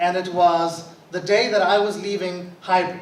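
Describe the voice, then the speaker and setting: Loud and high-pitched, a man's voice carries audible room echo over noticeable background noise. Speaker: guest speaker. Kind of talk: school address.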